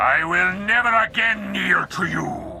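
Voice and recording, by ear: Against faint background music, a man puts on a character voice that is high, bright and sharp, with vocal fry and lively intonation at a fairly slow pace.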